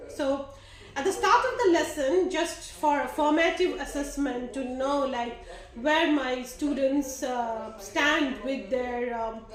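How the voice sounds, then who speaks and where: Noticeable background noise and audible room echo surround speech delivered very slowly. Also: woman, high pitch for a woman, ordinary pitch variation. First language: not English. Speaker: teacher. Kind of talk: lesson reflection. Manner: halting, many fillers.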